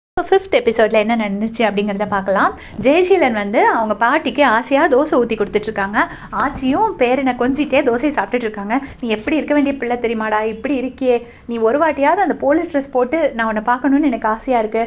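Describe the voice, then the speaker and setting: There is noticeable background noise in the clip. A woman speaks at a high pitch with lively intonation. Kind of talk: web series episode review recap. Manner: casual, conversational.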